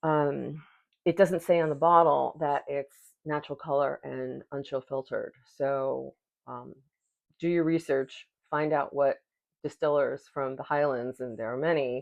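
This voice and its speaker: Speaking at a fairly slow pace with long, frequent pauses, a woman uses a very deep, low pitch and fairly even intonation. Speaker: whisky reviewer. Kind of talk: product review. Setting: at home at night.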